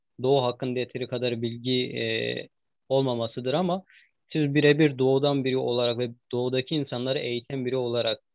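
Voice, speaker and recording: This man's voice sits at a medium pitch and moves fairly quickly. Everything he says comes out flat and monotone. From eastern Turkey (Ağrı). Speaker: interviewer. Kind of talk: interview. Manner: halting with many fillers.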